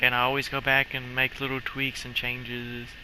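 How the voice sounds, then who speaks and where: Over noticeable background noise, a man speaks at a medium pitch. His intonation is monotone and flat, at a moderate pace. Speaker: gaming YouTuber. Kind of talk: gameplay commentary. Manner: casual rambling; stuttering at times.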